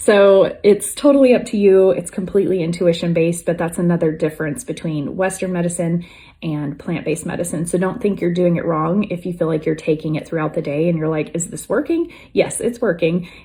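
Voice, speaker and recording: A woman's fairly low, somewhat breathy voice with a dark, mellow tone, in a very clean recording with a silent background. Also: ordinary pitch variation, fairly quick pace. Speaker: wellness vlogger. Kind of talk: casual talk to camera.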